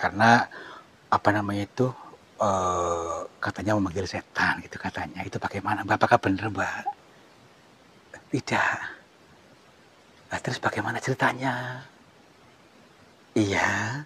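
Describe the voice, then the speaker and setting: A man with a soothing tone and fairly low pitch speaks with ordinary pitch variation and long, frequent pauses over noticeable background noise. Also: moderate pace. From Central Java, Indonesia (Cilacap). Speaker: ruqyah practitioner / spiritual healer. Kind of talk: staged ruqyah session and interview. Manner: hesitant, many fillers; soothing, calming.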